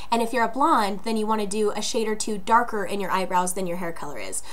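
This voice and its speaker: A woman speaks at a medium pitch with ordinary pitch variation. Room echo is audible. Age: 20s. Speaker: beauty vlogger. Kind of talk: tutorial. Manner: casual, many filler words.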